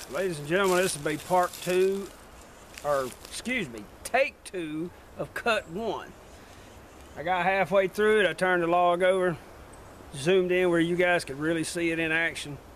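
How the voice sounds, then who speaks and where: A man's voice, high in pitch, at a moderate pace with ordinary pitch variation and long, frequent pauses. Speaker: outdoor gear reviewer. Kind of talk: casual product review. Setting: indoors at home. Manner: loud.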